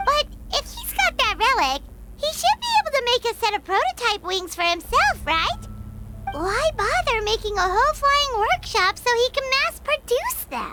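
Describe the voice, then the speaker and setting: A cartoonish character voice speaks at an extremely high pitch and a moderate pace. Loud background noise fills the recording. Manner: excitable, talkative.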